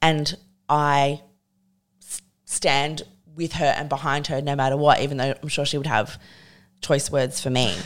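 A woman with an Australian accent speaks at a moderate pace in a very deep, low voice, her intonation monotone and flat, her loudness swinging widely, with long, frequent pauses on a very clean recording with a silent background. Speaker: feminist writer and podcast host. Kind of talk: casual chat.

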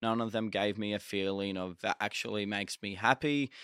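In an Australian accent, a man speaks at a moderate pace with a fairly low pitch and fairly even intonation, recorded dry and close with no echo against a silent, very clean background. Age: young. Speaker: social media content creator. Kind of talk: interview.

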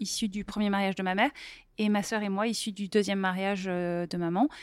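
On a very clean recording with a silent background, an ordinary speaking voice is delivered with fairly even intonation. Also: woman. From Paris, France. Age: 40s. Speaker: entrepreneur and author. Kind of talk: casual interview.

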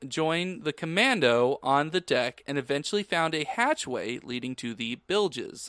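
On a very clean recording with a silent background and a dry, close sound with no echo, a man with a fairly high pitch speaks with very wide pitch swings and hardly any pauses. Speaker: podcast co-host. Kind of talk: casual chat.

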